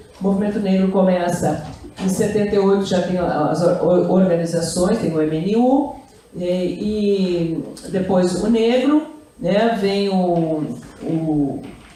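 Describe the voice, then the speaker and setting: Against noticeable background noise and audible room echo, a woman talks very slowly at medium pitch with ordinary pitch variation. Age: 70s. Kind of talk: talk at a literary festival. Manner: halting, with frequent repetitions.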